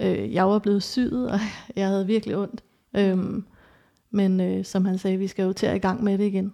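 A woman of medium pitch speaks fairly slowly in a dark, mellow tone, with monotone, flat intonation, very even loudness, and long, frequent pauses, in a very clean recording with a silent background. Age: 40s. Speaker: interviewee sharing experience of abuse. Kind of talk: personal testimony. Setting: studio. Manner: halting, many fillers.

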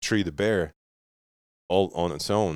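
A man with a Russian accent speaks in fairly even intonation on a very clean recording with a silent background. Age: 30s. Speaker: dog breeder and hunter. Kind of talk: casual interview chat. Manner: halting.

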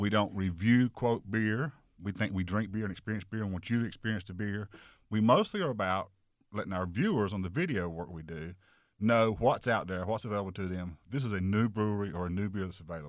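On a very clean recording with a silent background, a man talks at a fairly quick pace with ordinary pitch variation. He has a fairly low pitch and an ordinary speaking voice. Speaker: beer website creator. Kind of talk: interview.

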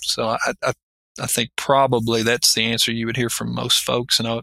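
A man speaks with an Appalachian accent at a medium pitch. His tone is bright and sharp, and the sound is dry and close with no echo. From Appalachia, Kentucky. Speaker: college operations executive. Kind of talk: interview.

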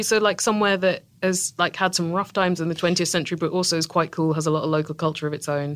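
Speaking at a very fast pace with hardly any pauses, a woman with a British accent uses a fairly low pitch. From Tunbridge Wells, south of London, England. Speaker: podcast host.

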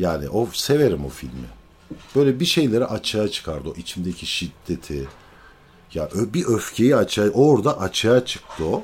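Very wide pitch swings mark a man's fairly low voice, which has vocal fry and moves at a moderate pace. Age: 40s. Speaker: string instrument maker. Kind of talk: personal storytelling.

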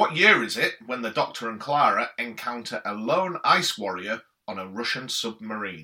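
A man talks with big swings in loudness, keeping a moderate pace. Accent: Yorkshire. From Yorkshire, northern England. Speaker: podcast co-host. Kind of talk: casual chat.

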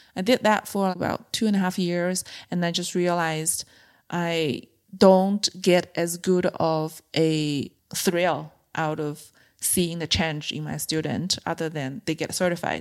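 A woman speaks with a Chinese accent at a fairly low pitch and fairly slow pace. Her intonation is fairly even, and the recording is very clean with a silent background. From China, mid-size city. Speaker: freediver and freediving coach. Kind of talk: casual chat. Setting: in person over wine in Nairobi.

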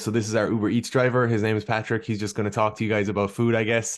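With an Irish accent, a man talks at a fairly low pitch over a quiet background. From Ireland. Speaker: performance nutritionist. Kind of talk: casual interview chat.

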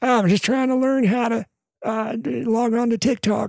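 This is a put-on character voice pitched fairly high. It keeps to a moderate pace. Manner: gentle, confused.

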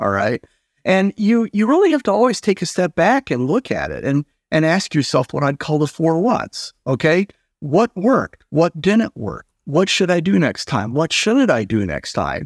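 Over a silent background in a very clean recording, a man speaks at a moderate pace in a high pitch with very wide pitch swings and a dry, close sound with no echo. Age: 50s. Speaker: industry analyst. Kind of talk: interview.

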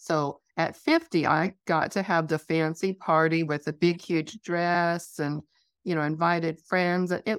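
In an ordinary speaking voice with an American accent, a woman talks at a fairly slow pace and fairly low pitch, with ordinary pitch variation, hardly any pauses, and a dry, close sound with no echo. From Wyoming, US. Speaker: costume designer and event planner. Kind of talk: casual interview chat.

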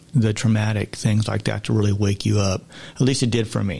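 His tone is dark and mellow, somewhat breathy. The man's pitch sits fairly low. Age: 60s. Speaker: podcast guest sharing life story. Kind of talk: testimony.

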